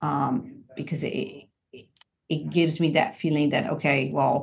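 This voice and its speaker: A woman speaks with vocal fry and big swings in loudness. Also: ordinary pitch variation, fairly slow pace. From Brazil. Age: 50s. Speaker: strength training client. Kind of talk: podcast interview. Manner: halting, many repetitions and fillers.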